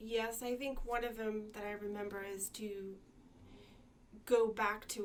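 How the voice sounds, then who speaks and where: Her voice sits fairly high for a woman. She keeps her intonation monotone and flat, without rise or fall. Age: 40s. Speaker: social worker. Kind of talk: interview answer. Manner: stutters.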